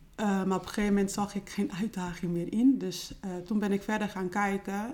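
The intonation stays monotone and flat. A moderate pace carries the words along. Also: woman. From Netherlands. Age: 40s. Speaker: home care business owner. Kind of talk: interview.

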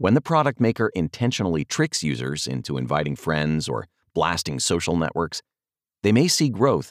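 A man speaks with very wide pitch swings and vocal fry. The sound is dry and close, with no echo. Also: very clean recording, silent background. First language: not English. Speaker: podcast host and author reading his own article. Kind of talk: reading aloud.

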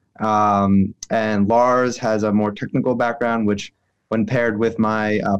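A man with an American accent, fairly low in pitch and monotone, flat in intonation, at a moderate pace over a quiet background. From New York City. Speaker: renewable energy company president, former lawyer. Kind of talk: interview.

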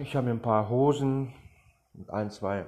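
Keeping his intonation fairly even, a man speaks at a moderate pace and a medium pitch. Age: 40s. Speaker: podcaster, former addict. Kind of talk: testimony. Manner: hesitant, with fillers.

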